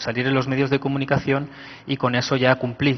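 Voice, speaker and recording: In a Spanish accent, a man speaks at a fairly quick pace and medium pitch with monotone, flat intonation. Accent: Spanish (Spain) accent noticeable. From Spain. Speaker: IT manager at a health ministry, conference speaker. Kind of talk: conference talk.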